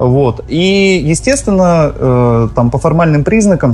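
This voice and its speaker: A man's lively intonation carries over noticeable background noise. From Vladivostok, Russian Far East. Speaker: cinema co-owner. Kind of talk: radio talk show interview.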